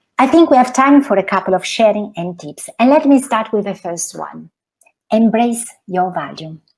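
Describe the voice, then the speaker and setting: At a moderate pace, a woman talks in a somewhat breathy, medium-pitched voice. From Italy. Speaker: financial coach. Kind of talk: talk to an audience.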